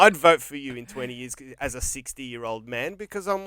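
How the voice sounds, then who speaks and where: The voice has an Australian accent and a bright, sharp tone. Its intonation is lively and the pace moderate. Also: man. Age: 40s. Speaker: podcast host. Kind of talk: casual chat.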